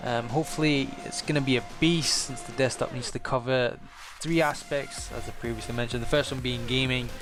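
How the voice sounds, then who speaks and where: A man with a Scottish accent at a medium pitch, fairly quick pace and fairly even intonation, with music in the background. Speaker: gaming YouTuber. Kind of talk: casual vlog talk.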